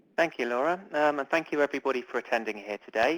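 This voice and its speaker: A man with a British accent talks at a very fast pace, with ordinary pitch variation. The sound is dry and close, without any echo. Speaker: publishing marketing manager. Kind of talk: webinar presentation. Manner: hesitant, many fillers.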